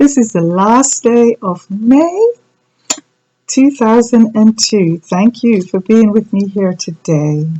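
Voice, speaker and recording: Speaking at a very slow pace, a woman with a fairly high, somewhat breathy voice uses lively intonation. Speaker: reverend, church host. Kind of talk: online church sermon.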